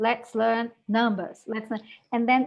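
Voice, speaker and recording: A woman's fairly high-pitched voice with a Brazilian accent. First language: Portuguese. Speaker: English language teaching educator. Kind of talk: webinar talk.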